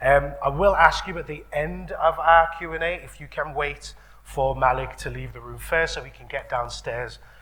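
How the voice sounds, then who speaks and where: A man at a moderate pace, with audible room echo. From Birmingham, England. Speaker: radio presenter and event host. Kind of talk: live event interview introduction. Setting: stage with live audience. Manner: casual, chatty.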